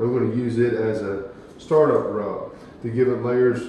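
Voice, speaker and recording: A man speaks in a monotone, flat intonation. There is audible room echo and light background noise. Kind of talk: tutorial. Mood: relaxed, casual. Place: kitchen.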